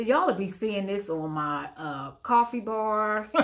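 Speaking at a fairly slow pace, a woman keeps her pitch variation ordinary. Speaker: thrift haul vlogger. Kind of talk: casual vlog chat. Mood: cheerful, pleased. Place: home room. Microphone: phone near.

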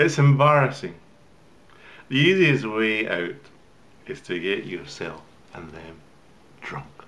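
Speaking at a very slow pace with long, frequent pauses, a man shows big swings in loudness and very wide pitch swings. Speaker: poetry reader. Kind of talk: poetry reading. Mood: wry, relaxed, theatrical. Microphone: webcam.

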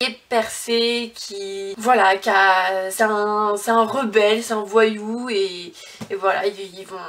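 The intonation is monotone and flat. The speaker is a woman. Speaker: book vlogger. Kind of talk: casual vlog chat. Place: home room. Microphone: phone near.

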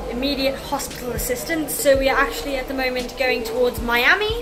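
Noticeable background noise accompanies a woman talking at a very fast pace. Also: ordinary pitch variation. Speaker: travel vlogger. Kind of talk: casual vlog chat. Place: boat. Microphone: phone near.

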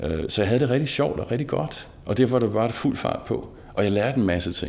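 This man talks with a fairly low pitch. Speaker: interviewee. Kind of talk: interview answer. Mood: warm, smiling, reflective. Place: studio.

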